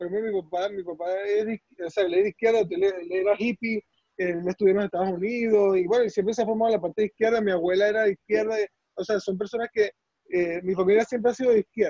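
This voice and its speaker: A man's high-pitched voice with a Venezuelan accent, very fast and fairly even in intonation, dark and mellow in tone, dry and close with no echo. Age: 20s. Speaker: surgeon. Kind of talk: casual chat.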